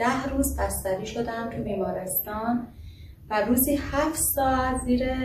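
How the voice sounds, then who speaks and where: A woman with a fairly high pitch is heard against noticeable background noise. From Iran. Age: 30s. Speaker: recovered patient. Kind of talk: testimony. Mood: earnest, recalling hardship. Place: home room.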